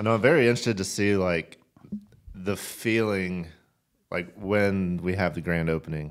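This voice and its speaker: The speech moves at a moderate pace with ordinary pitch variation. Long, frequent pauses break it up against a quiet background. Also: man, very deep, low pitch for a man. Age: 30s. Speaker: fishing podcast co-host and outdoor store owner; fishing podcast co-host. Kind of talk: casual chat. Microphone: studio mic.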